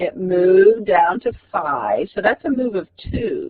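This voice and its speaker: Ordinary pitch variation from a man speaking at a very slow pace. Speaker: math teacher. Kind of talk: lecture.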